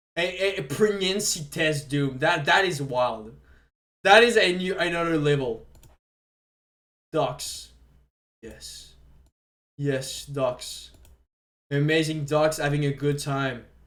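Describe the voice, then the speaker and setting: A man with a fairly high pitch speaks at a very slow pace with long, frequent pauses. Room echo is audible. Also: ordinary pitch variation. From Quebec. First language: French. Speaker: streamer. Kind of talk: casual live stream commentary. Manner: halting, repeats words.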